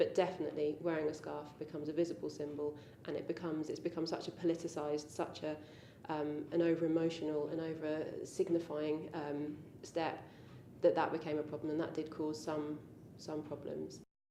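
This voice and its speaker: With an English accent, a woman talks fairly quickly in a very deep, low voice and a flat monotone, with audible room echo around her. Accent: quintessentially English. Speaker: convert interviewee. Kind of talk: interview. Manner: hesitant, many ums.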